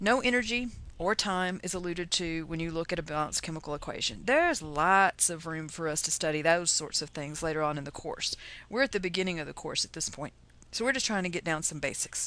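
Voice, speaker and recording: A woman with a Texas accent, fairly low in pitch, bright and sharp in tone, very fast, with ordinary pitch variation, on a very clean recording with a silent background. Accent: Texas twang. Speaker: chemistry teacher. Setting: lecture. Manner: casual, joking.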